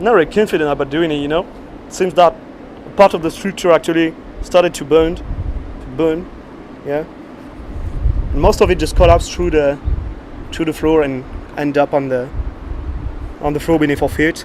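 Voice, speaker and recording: Someone with a French accent speaks at a fairly quick pace with fairly even intonation. There are long, frequent pauses and noticeable background noise. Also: man, fairly high pitch for a man. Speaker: urban explorer vlogger. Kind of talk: exploration vlog narration. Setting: outdoors, inside a ruined building. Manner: halting, repeats words.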